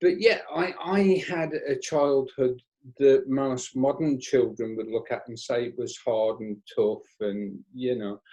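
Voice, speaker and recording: A man with a West Midlands accent speaks at a very slow pace, his loudness swinging widely. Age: 60s. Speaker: stage hypnotist. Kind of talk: interview storytelling.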